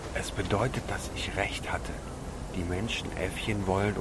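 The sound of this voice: Just an unforced reading voice.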